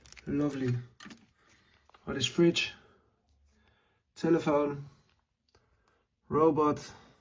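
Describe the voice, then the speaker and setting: A man with a non-native accent and fairly high pitch talks at a very slow pace in a monotone, flat way. Long pauses come often. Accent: non-native English speaker. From Netherlands. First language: Dutch. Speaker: lighter collector and maker. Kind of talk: collection show-and-tell. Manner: halting, many fillers.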